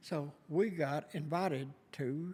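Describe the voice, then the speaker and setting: In a very clean recording with a silent background, a man with a Kentucky accent talks at a fairly high pitch. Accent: Southern US (Kentucky). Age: 70s. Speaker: retired musician and venue co-owner. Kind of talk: casual interview chat. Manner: halting, many fillers.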